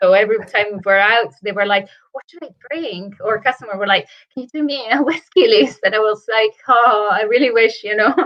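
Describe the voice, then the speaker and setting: Fairly quick and fairly high, a woman's voice carries. Her pitch varies in an ordinary way. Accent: Italian. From northern Italy. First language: Italian. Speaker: whisky brand ambassador. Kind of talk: casual chat.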